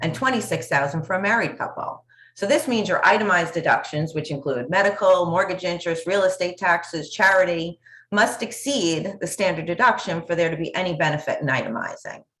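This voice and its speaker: Speaking at a fairly quick pace, a woman with an American accent uses a fairly low pitch and lively intonation. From New York. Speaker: tax accountant. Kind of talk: panel discussion. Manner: fast.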